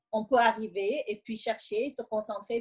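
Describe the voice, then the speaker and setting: With a Senegalese accent, the speaker talks at a moderate pace with ordinary pitch variation. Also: woman. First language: Wolof (speaking French). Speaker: immigrant sharing her experience. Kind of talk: interview testimony.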